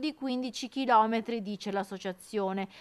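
A woman's fairly high voice, an unremarkable speaking voice with lively intonation and a dry, close sound with no echo. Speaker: news anchor. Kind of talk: formal TV news reading, scripted. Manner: formal; brisk, even-paced, authoritative delivery.

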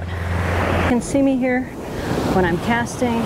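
Loud background noise fills this clip of a woman speaking. The sound is dry, with no echo. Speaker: fishing video host. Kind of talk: tutorial. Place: beach. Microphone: lapel.

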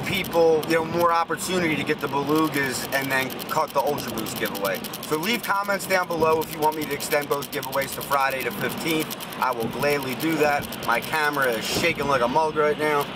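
A man talking at a fairly quick clip with hardly any pauses, ordinary pitch variation, and loud background noise behind him. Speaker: sneaker vlogger. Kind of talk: casual vlog chat. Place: car. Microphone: phone near.

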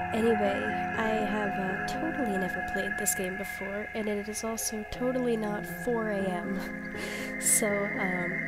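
Over loud music in the background, a woman speaks at a fairly slow pace. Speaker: gamer. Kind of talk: casual let's play commentary. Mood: joking, playful, late night. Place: home room. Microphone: headset.

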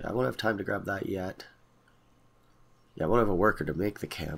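A man speaks at a fairly quick pace in a fairly low voice, with vocal fry and ordinary pitch variation. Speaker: gaming video creator. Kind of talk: let's play commentary. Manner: casual, hesitant with fillers.

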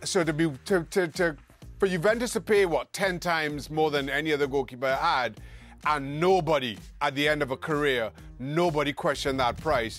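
A man speaks at a moderate pace with ordinary pitch variation. The sound is dry with no echo, and faint music plays in the background. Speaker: remote football pundit. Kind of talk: commentary. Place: home room. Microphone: earbuds.

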